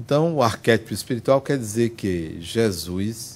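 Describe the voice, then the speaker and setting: The man talks at a very slow pace. His intonation is lively. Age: 60s. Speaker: spiritist lecturer. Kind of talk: lecture. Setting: spiritist center with audience.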